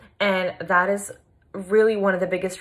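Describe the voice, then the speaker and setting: A woman talks with a Long Island accent. Her pace is fairly slow. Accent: New York (Long Island) American. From Long Island, New York, US. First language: Polish. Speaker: fitness coach. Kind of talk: personal story vlog. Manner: casual, many fillers.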